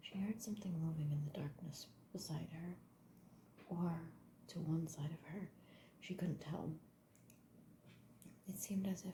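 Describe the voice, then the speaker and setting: A soft-spoken woman whispering at a fairly slow pace, somewhat breathy. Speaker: ASMR artist. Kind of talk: whispered audiobook-style reading for sleep. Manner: soft-spoken, whispering, with occasional stutters and pauses.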